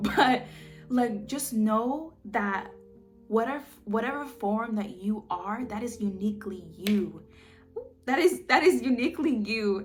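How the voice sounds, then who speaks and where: A woman speaks at a fairly slow pace with a fairly high pitch and ordinary pitch variation, over music in the background. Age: 20s. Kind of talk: casual talk to camera. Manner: warm, conversational.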